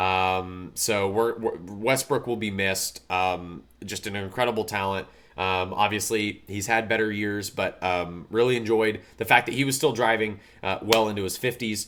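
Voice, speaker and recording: A man's fairly low pitch and fairly even intonation on a very clean recording with a silent background. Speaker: motorsport podcast host. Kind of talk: casual podcast commentary. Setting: live stream from an Airbnb. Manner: fast.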